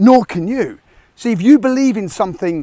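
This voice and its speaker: The dark, mellow voice moves at a fairly quick pace with lively intonation, in a dry, close sound with no echo. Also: man. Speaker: military veteran turned online business coach. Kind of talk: motivational talk to camera. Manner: fast; abrupt, aggressive.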